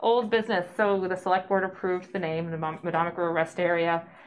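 Amid light background noise, a woman speaks with fairly even intonation. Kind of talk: meeting discussion. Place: meeting room. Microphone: camera far.

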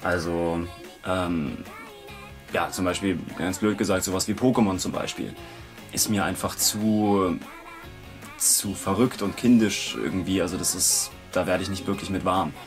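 Against clear background music, a man with a very deep, low pitch speaks at a fairly slow pace with fairly even intonation and long, frequent pauses. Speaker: voice actor. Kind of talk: interview answer. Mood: relaxed, slightly amused. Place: studio.

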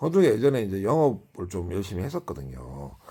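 Here a man talks with a fairly low pitch and vocal fry, his pitch swinging very widely. The recording is very clean, with a silent background. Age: 50s. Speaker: YouTuber. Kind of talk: casual monologue vlog. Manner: halting, many fillers.

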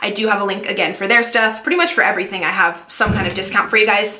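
A woman speaks fast at a medium pitch, her tone bright and sharp, with audible echo in the room.

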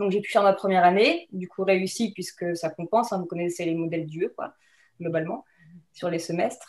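Against a quiet background, a woman talks at a fairly quick pace with fairly even intonation. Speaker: wine museum communications professional; guest. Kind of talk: webinar talk about career path. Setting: video call. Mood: relaxed, friendly. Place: home room. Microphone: webcam.

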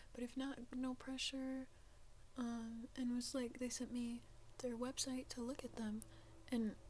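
A soft-spoken woman whispering over light background noise. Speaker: ASMR content creator. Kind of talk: casual talk to camera. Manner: soft-spoken, whispered. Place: home room. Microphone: studio mic.

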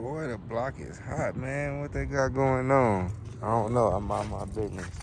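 A man talks at a moderate pace. The sound is dry with no echo, and background noise is noticeable. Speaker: car hobbyist vlogger. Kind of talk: casual vlog chat. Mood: relaxed, chatty. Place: garage. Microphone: phone near.

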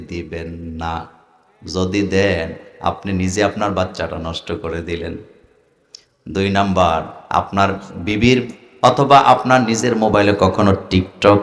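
In a room with audible echo, a man talks at a fairly low pitch with ordinary pitch variation. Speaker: Islamic preacher. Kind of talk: sermon. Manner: animated.

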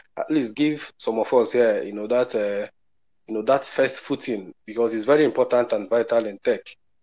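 A man with an African accent talks at a moderate pace and medium pitch in a dark, mellow tone. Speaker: software developer. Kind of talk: casual group discussion. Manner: halting, many repetitions.

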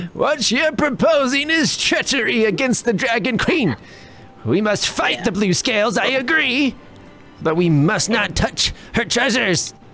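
A man does a put-on character voice at an extremely high pitch and a moderate pace. Clear music plays in the background. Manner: solemn, fearful.

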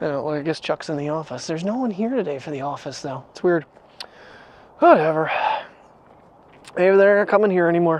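The pace is fairly quick as a man talks with ordinary pitch variation. The sound is dry, with no echo. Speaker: daily vlogger. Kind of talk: casual vlog chat. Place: street. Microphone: lapel.

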